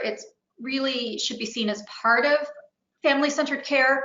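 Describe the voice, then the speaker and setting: A woman's high-pitched voice at a moderate pace, with audible room echo. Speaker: webinar presenter. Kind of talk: webinar presentation. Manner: hesitant with fillers.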